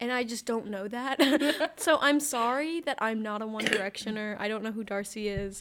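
The reading voice is unforced. Pitch moves in an ordinary way throughout.

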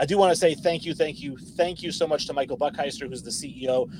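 An ordinary speaking voice from a man, at a fairly quick pace with ordinary pitch variation. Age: late 30s. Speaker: sports podcast host. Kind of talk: casual chat. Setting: live stream.

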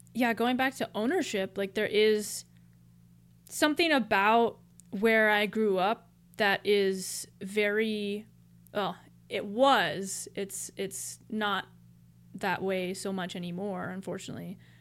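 A woman with an American accent at a medium pitch, talking at a very slow pace with long, frequent pauses, on a very clean recording with a silent background. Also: ordinary pitch variation. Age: 20s. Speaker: podcast co-host. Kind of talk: casual chat.

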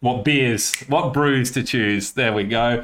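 With an Australian accent, a man talks at a moderate pace. His intonation stays fairly even. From Australia, Coffs Harbour, New South Wales. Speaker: podcast host. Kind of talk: casual chat.

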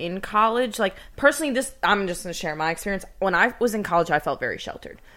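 Bright and sharp in tone, a woman sounds animated on a very clean recording with a silent background. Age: 20s. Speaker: podcast co-host. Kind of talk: casual chat.

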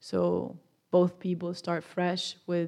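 A woman with a Spanish accent and a fairly low pitch, on a very clean recording with a silent background. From Spain. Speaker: college student and small business owner. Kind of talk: interview.

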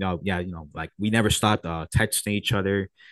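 A man with a Spanish accent talks very fast at a fairly low pitch, his intonation fairly even. The sound is dry and close with no echo, over a quiet background. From Puerto Rico. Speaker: music producer. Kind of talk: casual chat. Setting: video call.

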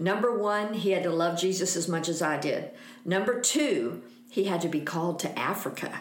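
Amid noticeable background noise and audible room echo, a woman speaks at a moderate pace and medium pitch with lively intonation. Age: 60s. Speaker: missionary. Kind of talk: casual interview chat.

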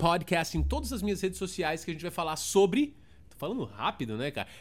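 An animated man with a São Paulo accent and vocal fry, talking at a very fast pace in a very clean recording with a silent background. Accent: Paulistano Brazilian Portuguese. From Brazil, São Paulo (south zone). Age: 30s. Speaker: podcast host. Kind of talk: casual solo monologue.

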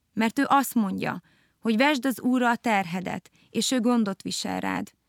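A woman's voice with ordinary pitch variation, heard dry and close without echo. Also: very clean recording, silent background. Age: 30s. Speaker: podcast host. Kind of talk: casual chat. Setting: studio.

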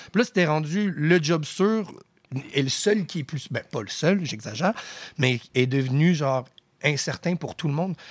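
The speaker, with an English accent, talks at a fairly slow pace with lively intonation and long, frequent pauses. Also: man, fairly high pitch for a man. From Quebec, Outaouais and Rosemère. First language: English (speaking French). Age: 30s. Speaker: rapper. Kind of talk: casual chat.

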